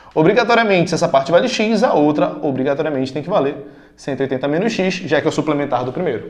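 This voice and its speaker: Talking at a very fast pace, a man uses lively intonation amid audible room echo. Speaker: math teacher. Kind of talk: lecture. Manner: casual.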